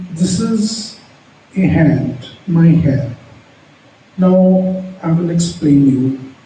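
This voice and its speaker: With ordinary pitch variation, a man talks at a fairly high pitch amid audible room echo and noticeable background noise. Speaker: palmistry teacher. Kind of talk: tutorial. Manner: halting, with pauses between words; unscripted.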